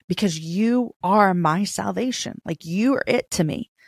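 An unremarkable speaking voice moves at a fairly slow pace with ordinary pitch variation. The sound is dry and close with no echo, and the recording is very clean over a silent background. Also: woman. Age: 40s. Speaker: author, speaker and podcast host. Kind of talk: casual faith interview.

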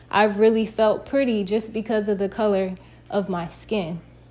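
A woman's normal speaking voice, fairly high in pitch, with fairly even intonation and a fairly slow pace. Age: 20s. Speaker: podcaster. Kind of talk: personal monologue.

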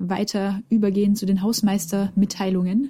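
Somewhat breathy and dark, mellow in tone, a woman talks with monotone, flat intonation. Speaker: science podcast co-host. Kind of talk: casual educational chat. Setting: remote recording over internet.

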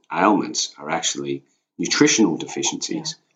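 With an Australian accent, a man talks at a fairly quick pace. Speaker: sheep farmer, host's husband. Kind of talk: casual chat.

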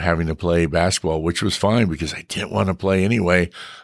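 Speaking with an American accent, a man talks fairly quickly in a very deep, low voice. The recording is very clean, and the background is silent. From US West, Bakersfield, California. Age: 50s. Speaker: sideshow performer and museum curator. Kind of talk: casual interview. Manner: hesitant, with frequent fillers.

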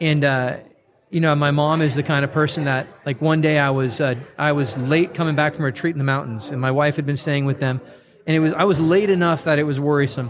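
Speaking at a very fast pace, a man with an American accent keeps a fairly high pitch and fairly even intonation. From US West Coast, North County San Diego. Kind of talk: faith podcast conversation. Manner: conversational with frequent fillers and repetitions.

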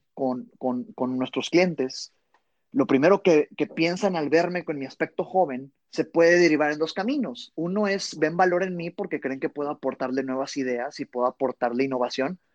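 An unremarkable speaking voice moves at a moderate pace with ordinary pitch variation, sounding dry and close with no echo against a quiet background. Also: man. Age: 20s. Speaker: sales trainer. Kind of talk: interview.

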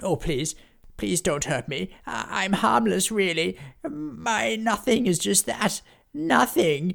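In a very clean recording with a silent background, a man does a put-on character voice, high-pitched, with very wide pitch swings and a very slow pace. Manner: pleading, whimpering.

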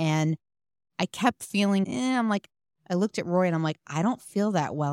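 A woman uses a normal speaking voice at a fairly low pitch, talking at a fairly quick pace with lively intonation in a dry, close sound with no echo, on a very clean recording with a silent background. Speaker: podcast producer. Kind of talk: casual chat, anecdote.

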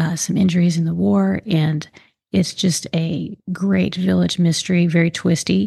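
A woman speaks in a dark, mellow, relaxed tone at a fairly slow pace and a fairly low pitch. Her voice is somewhat breathy, and the sound is dry and close with no echo. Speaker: mystery author and podcast host. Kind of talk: casual book chat, intro and outro. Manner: conversational, friendly, relaxed with some fillers.

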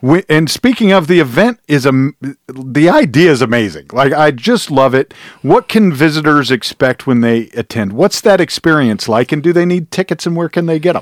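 This man has an unremarkable speaking voice, fairly high in pitch, with lively intonation and a moderate pace. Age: 40s. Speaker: podcast host. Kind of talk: casual interview. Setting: studio.

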